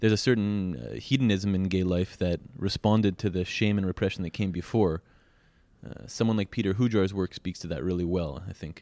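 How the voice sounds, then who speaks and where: A man speaks at a fairly quick pace in a very deep, low pitch with a dark, mellow tone. His pitch varies in an ordinary way, and the recording is very clean with a silent background. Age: 30s. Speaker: podcast host interviewing photographers. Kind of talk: interview questions. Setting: at the guest's home.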